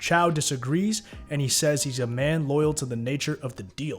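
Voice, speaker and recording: With music in the background, a man's voice shows ordinary pitch variation. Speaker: YouTube TV show recapper. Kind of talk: TV episode recap narration.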